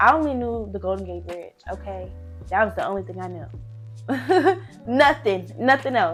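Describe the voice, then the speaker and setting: With music playing behind her, a woman talks fairly slowly. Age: 20s. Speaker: college student and tech intern. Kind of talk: casual talk to camera.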